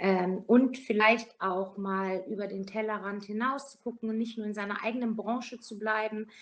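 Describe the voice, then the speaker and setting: At a moderate pace, a woman talks with ordinary pitch variation. She has an ordinary speaking voice. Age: 50s. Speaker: hospice manager and nurse. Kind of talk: interview.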